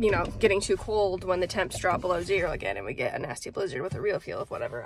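A woman at a fairly quick pace, in a dry sound with no echo. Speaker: farmer vlogger. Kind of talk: casual vlog chat. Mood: uneasy about the weather. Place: car. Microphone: phone near.

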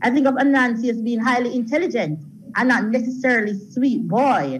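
A woman speaks at a fairly quick pace in a high voice over light background noise. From Jamaica. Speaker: college lecturer. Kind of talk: panel discussion. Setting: video call. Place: hall. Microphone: handheld.

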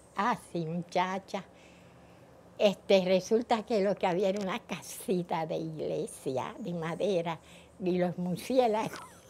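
Very slowly, a woman speaks in a dark, mellow tone at a medium pitch with ordinary pitch variation. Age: 80s+. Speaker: net weaver and poet. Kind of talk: interview answer.

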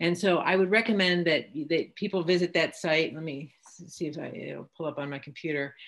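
Against a quiet background, a woman with an American accent and a fairly low pitch speaks with fairly even intonation and big swings in loudness. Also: fairly quick pace. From US Midwest. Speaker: physician and Parkinson's advocate. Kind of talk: panel discussion. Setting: video call. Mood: reflective, candid. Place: home room. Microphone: video call.

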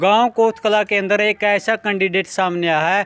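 A man with a Haryanvi accent speaks at a high pitch and a fairly slow pace. His intonation is fairly even, and the sound is dry with no echo. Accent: Haryanvi-accented Hindi. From Haryana, India. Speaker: local news reporter. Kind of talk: field interview. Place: home room. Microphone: handheld.

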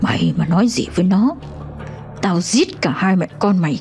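Over hissing and clear background music, a woman puts on a character voice at a medium pitch, speaking at a moderate pace with very even loudness. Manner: menacing, threatening.

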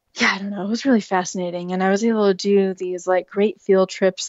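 This voice has an American accent. Its intonation is monotone and flat. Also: woman. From US Pacific Northwest, Seattle. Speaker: author. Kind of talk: interview.

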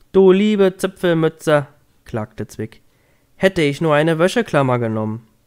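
A man talks in a gentle, soothing tone at a fairly slow pace, with lively intonation. The recording is very clean and the background silent. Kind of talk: bedtime story reading aloud. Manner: gentle, soothing, slow storytelling pace.

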